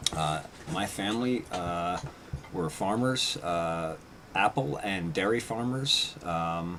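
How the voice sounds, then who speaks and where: Noticeable noise fills the background. Over it, a man talks in a very deep, low voice. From upstate New York (Red Hook). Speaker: radio host and small-scale farmer. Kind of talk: live radio show monologue. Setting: live stream broadcast. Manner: halting, many fillers.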